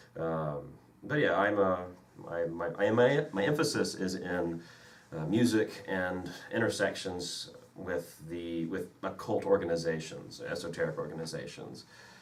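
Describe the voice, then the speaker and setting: With an American accent and lively intonation, a man speaks at a fairly slow pace in a very deep, low voice amid noticeable background noise and audible room echo. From Mississippi, US South. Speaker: podcast co-host, music history graduate student. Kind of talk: casual chat.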